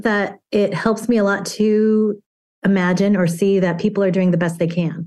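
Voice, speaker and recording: A woman's medium-pitched, unremarkable speaking voice with fairly even intonation. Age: 50s. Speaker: acupuncturist and stand-up comedian. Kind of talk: casual interview. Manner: humorous, laughs often.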